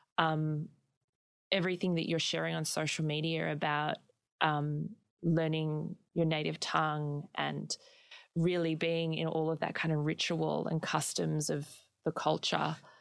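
In a very clean recording with a silent background, a woman with a very deep, low voice speaks slowly-ish in a flat monotone, at a fairly slow pace. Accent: Australian. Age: 20s. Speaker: podcast host. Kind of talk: interview.

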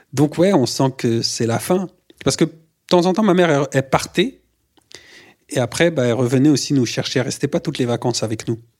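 Pitched fairly high, a man talks at a moderate pace with ordinary pitch variation and an unremarkable speaking voice. The recording is very clean, with a silent background. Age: 30s. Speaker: artist. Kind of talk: personal testimony.

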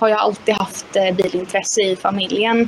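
Fairly even intonation from a woman over noticeable background noise. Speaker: mental coach and former kart driver. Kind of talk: interview. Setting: live stream.

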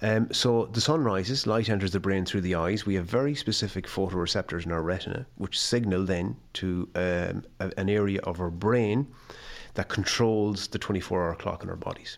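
Fairly low-pitched man with a western Irish accent, moderate pace and ordinary pitch variation, on a very clean recording with a silent background. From west of Ireland. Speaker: health scientist and sleep consultant. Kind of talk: casual interview. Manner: halting, repeats words.

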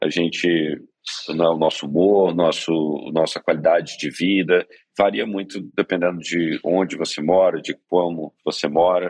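A man talks at a fairly slow pace in a very deep, low voice with monotone, flat intonation. The sound is dry and close, with no echo. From Brazil, Minas Gerais (Belo Horizonte). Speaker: startup co-founder and CEO. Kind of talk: interview conversation.

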